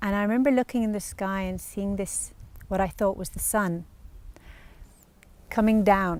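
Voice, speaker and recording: The speaker is a woman with a medium pitch. She keeps a moderate pace. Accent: Irish. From Ireland, Dublin and Wicklow. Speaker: spiritual practitioner. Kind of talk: testimony.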